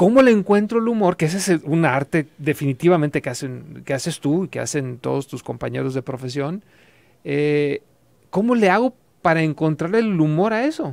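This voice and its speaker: A man with a fairly high pitch talks at a moderate pace. His intonation is lively, and the background is quiet. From Mexico, Guadalajara. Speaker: radio host. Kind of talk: radio interview. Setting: studio. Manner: halting. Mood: friendly, curious. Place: studio. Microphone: studio mic.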